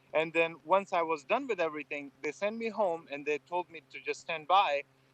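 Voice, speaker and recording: A man with an Afghan accent speaks at a moderate pace with ordinary pitch variation, the sound dry and close with no echo. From Afghanistan. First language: Farsi. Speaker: former military interpreter. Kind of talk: interview. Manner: hesitant, with frequent fillers.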